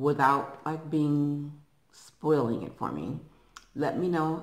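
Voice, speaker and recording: A woman speaks at a moderate pace with a very deep, low pitch. The room echo is audible. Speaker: eating vlogger. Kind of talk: casual vlog chat. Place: home room. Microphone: phone near.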